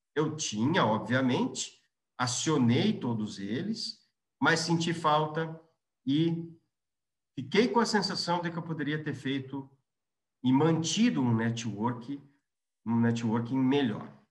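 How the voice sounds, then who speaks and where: A man's fairly high, somewhat breathy voice with lively intonation, a very slow pace and long, frequent pauses. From Brazil, Londrina (Paraná). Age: 40s. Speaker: business executive. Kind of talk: interview, career storytelling. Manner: halting, frequent restarts.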